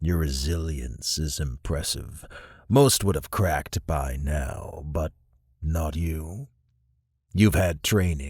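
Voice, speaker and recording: Putting on a character voice, a man speaks at a very slow pace with a very deep, low pitch on a very clean recording with a silent background. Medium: read story. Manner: cold, commanding.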